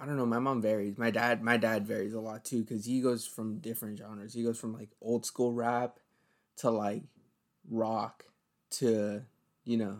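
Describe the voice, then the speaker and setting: A man talks at a moderate pace in a plain, everyday voice, his pitch medium. The recording is very clean, with a silent background. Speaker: podcast host. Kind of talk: casual chat. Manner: casual, slangy.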